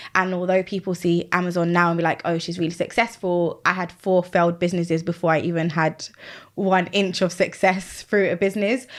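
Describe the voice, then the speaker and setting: A woman with a British accent speaks at fairly low pitch and a fairly quick pace. Her intonation is monotone and flat, on a very clean recording with a silent background. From UK. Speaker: Amazon seller and business coach. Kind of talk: podcast interview.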